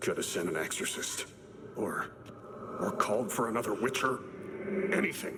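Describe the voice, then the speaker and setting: Over clear background noise, a man uses a put-on character voice at medium pitch, moving at a moderate pace with long, frequent pauses. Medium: video game. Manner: clipped, terse phrasing.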